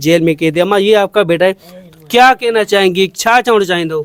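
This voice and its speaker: The sound is dry and close with no echo, though noticeable background noise is present. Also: man. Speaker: journalist. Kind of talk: news report narration and interview questions.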